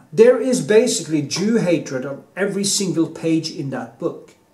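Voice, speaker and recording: The speech moves at a moderate pace. There is audible room echo. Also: man. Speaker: artist vlogger. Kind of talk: opinion monologue. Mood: heated, emphatic. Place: home room. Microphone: phone near.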